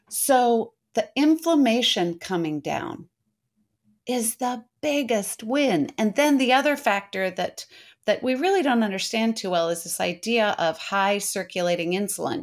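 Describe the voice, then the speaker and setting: A woman with fairly high pitch, very wide pitch swings and a fairly slow pace. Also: very clean recording, silent background. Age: 60s. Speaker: health coach. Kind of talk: interview.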